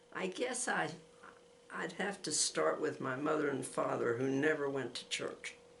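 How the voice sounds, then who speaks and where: A woman talks at a moderate pace in a very deep, low pitch with very wide pitch swings. Noticeable background noise and audible room echo are present. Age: 90s. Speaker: grandmother giving faith testimony. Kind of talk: testimony. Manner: halting.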